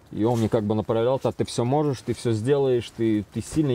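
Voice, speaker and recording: A man speaks in a dark, mellow tone with fairly even intonation. The sound is dry, with no echo. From Azerbaijan, Baku. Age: 30s. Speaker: recovering drug addict in rehab. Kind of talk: interview testimony. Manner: halting, filler-heavy. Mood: confessional, reflective. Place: home room.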